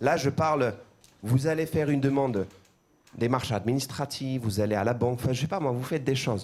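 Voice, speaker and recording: A man speaks at a fairly quick pace with an Armenian accent. He takes long, frequent pauses, with ordinary pitch variation. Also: medium pitch for a man. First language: Armenian (speaking French). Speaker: pastor. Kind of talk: sermon. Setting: church. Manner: halting, repeats words.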